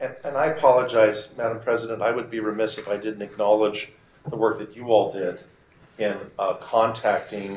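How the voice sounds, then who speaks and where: A man speaks at a moderate pace and medium pitch, somewhat breathy. His intonation is fairly even, while his loudness swings widely. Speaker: lobbyist. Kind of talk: formal remarks at public board meeting. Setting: board meeting room.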